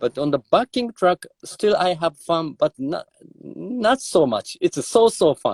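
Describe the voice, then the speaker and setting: With a Japanese accent, a man speaks at a fairly slow pace in a dry, close sound with no echo. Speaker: drummer. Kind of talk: interview. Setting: live video stream. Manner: halting.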